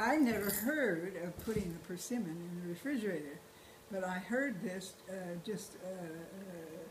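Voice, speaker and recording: A woman of medium pitch speaks with lively intonation at a moderate pace, with audible room echo and noticeable background noise. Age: 80s+. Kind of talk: casual chat. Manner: halting.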